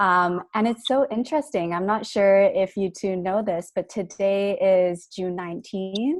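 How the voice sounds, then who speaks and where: A woman speaks at a fairly slow pace with hardly any pauses. Her voice is medium in pitch, with ordinary variation. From Canada (Vancouver), born in Taiwan. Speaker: clinical psychology graduate student. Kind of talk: podcast interview. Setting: video call.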